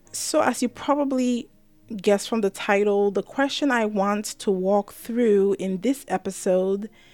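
A woman's medium-pitched voice at a fairly slow pace, with ordinary pitch variation and music in the background. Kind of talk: casual devotional monologue.

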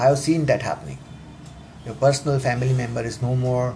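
Against noticeable background noise, the speech runs at a very fast pace. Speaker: self-help podcaster. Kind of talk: motivational talk. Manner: halting, many fillers.

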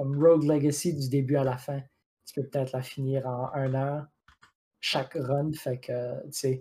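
A man speaks at a fairly slow pace with long, frequent pauses. His fairly high voice sounds somewhat breathy. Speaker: video game podcast co-host. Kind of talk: casual chat. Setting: live stream.

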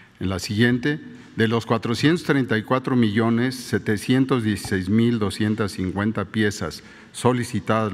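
A man speaks very slowly in a fairly low pitch, with ordinary pitch variation. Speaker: health minister. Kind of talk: press briefing. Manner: formal.

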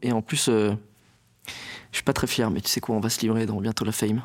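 The voice belongs to a man. His delivery is fairly quick. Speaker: stand-up comedian. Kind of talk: casual interview. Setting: studio. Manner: articulation problems.

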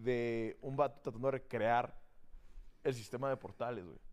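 A man speaking at a moderate pace. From Tijuana, Mexico. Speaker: guest, gamer. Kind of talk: casual chat.

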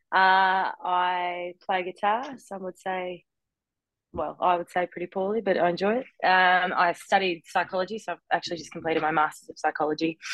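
A woman with an Australian accent speaks at medium pitch with fairly even intonation. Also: moderate pace, big swings in loudness. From Australia, Melbourne. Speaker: professional footballer. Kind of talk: casual interview.

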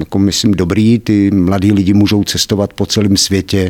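A man speaks at a fairly quick pace with fairly low pitch. He has an ordinary speaking voice. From Czechia, Kladno area. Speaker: personal development trainer. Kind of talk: interview.

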